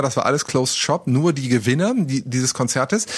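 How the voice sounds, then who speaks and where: A man's fairly high voice at a moderate pace, with lively intonation. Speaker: podcast co-host, radio presenter. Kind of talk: casual chat. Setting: recording from home, remote. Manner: gets louder to make a point.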